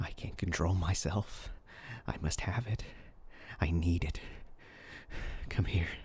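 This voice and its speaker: A man puts on a raspy character voice. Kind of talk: audio roleplay. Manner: menacing, taunting.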